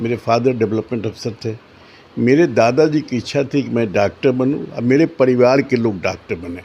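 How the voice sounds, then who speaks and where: This man has a dark, mellow tone with ordinary pitch variation. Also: medium pitch for a man. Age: 70s. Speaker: retired doctor turned politician. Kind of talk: interview. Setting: office room. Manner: halting.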